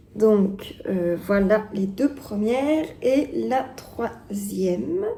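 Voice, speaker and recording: Very slow speech from a woman at a fairly high pitch with lively intonation, amid noticeable background noise and audible room echo. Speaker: knitting vlogger. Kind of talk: casual vlog talk to camera. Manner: hesitant, many fillers.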